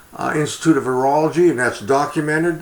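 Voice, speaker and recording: A man with an American accent amid noticeable background noise. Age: 70s. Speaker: political commentator. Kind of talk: monologue. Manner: halting.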